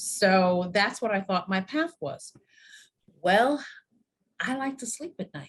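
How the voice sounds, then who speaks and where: Speaking very slowly with long, frequent pauses, a woman with an American accent uses a medium pitch, very wide pitch swings, big swings in loudness and a somewhat breathy voice. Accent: slight New York accent, comes out at times. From New York. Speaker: university dean and wellness expert. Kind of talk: podcast interview.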